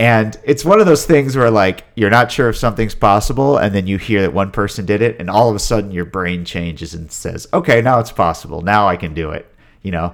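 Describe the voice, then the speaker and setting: A man with an American accent talks at a fairly quick pace in a fairly low pitch, with lively intonation and hardly any pauses. It is a plain, everyday voice. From Virginia, US. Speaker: long-distance walker. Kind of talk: casual interview.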